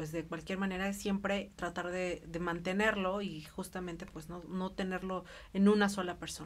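The woman speaks with monotone, flat intonation. Her pace is moderate. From Mexico. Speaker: lawyer and co-host; co-host, lawyer. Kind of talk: casual talk show chat. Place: studio. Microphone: studio mic.

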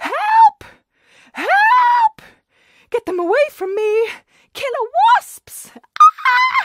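Shouting in a put-on character voice at an extremely high pitch, the speaker goes at a very slow pace with long, frequent pauses. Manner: screaming, frantic.

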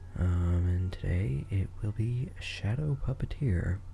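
The voice is soft-spoken and somewhat breathy, with a dark, mellow tone and ordinary pitch variation. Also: man. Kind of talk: ASMR gaming commentary.

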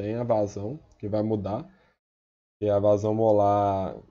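Against a quiet background, a man talks at a fairly slow pace in a dark, mellow tone, with fairly low pitch and fairly even intonation. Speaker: student tutor. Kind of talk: tutorial. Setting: recorded video with slides. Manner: casual.

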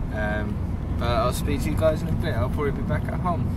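Loud background noise runs under a man's voice. He speaks at a moderate pace in a dry sound with no echo. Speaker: vlogger. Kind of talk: casual vlog chat. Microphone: phone near.

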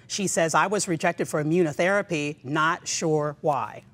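This woman's fairly low pitch has ordinary variation. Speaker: event host and moderator. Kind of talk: moderated panel discussion. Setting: virtual online event. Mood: warm, engaged, conversational. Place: studio.

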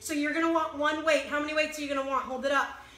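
Her voice raised and projected, a high-pitched woman speaks in a monotone, flat intonation, with audible room echo. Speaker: fitness instructor. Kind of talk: live-streamed HIIT workout class with rhythmic rep cues and countdowns. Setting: video livestream on a social media group. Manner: encouraging, pushy motivator urging through the burn. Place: home room. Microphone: phone near.

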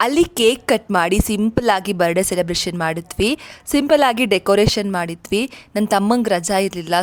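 The speaker is a woman with an ordinary speaking voice. Her pitch is medium, with ordinary pitch variation. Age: 20s. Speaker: vlogger. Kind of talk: vlog narration.

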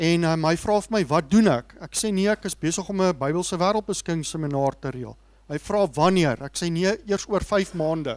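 Speaking at a moderate pace with hardly any pauses, a man uses a high pitch and ordinary pitch variation. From South Africa. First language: Afrikaans. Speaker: seminar organizer and moderator. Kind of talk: speech introduction. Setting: stage with audience. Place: hall. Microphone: handheld.

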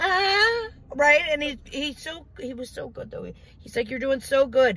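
A woman speaks in an animated tone. Her intonation is lively. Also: dry sound with no echo. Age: 40s. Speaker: professional driver and vlogger; vlogger. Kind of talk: casual storytelling. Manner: animated, laughing often. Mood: humorous. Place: car. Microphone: phone near.

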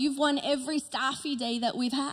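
Her high voice moves at a moderate pace with ordinary pitch variation. This woman is heard against a quiet background. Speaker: pastor. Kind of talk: sermon. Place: stage. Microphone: handheld.

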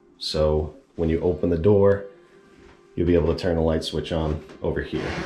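Faint music sits in the background while the speech moves at a moderate pace. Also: man. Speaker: DIY home repair creator. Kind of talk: tutorial. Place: bathroom. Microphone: phone near.

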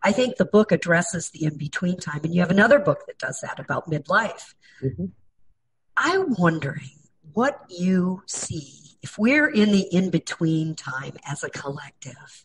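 A somewhat breathy woman with fairly low pitch and very wide pitch swings. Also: moderate pace. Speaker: cultural analyst and interviewer. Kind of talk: interview.

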